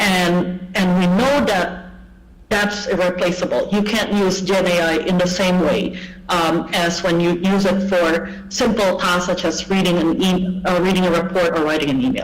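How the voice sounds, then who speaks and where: Speech unfolds at a moderate speed. Background noise is clearly noticeable. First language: Indonesian. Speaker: English language education speaker. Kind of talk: conference talk. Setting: online video presentation. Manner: hesitant, with fillers.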